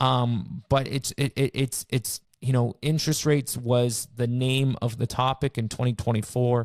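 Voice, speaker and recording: A man with a Canadian accent speaks in a flat monotone with hardly any pauses, his voice dry and close with no echo on a very clean recording against a silent background. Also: medium pitch for a man, very even loudness. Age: 30s. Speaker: realtor. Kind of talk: casual chat. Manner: fast, with many repeated words.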